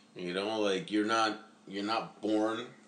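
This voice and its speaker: A man with a bright, sharp tone speaks at a fairly low pitch and a fairly slow pace. His intonation is fairly even, and there is audible room echo. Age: 30s. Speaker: expectant father, host's older brother. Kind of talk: casual chat.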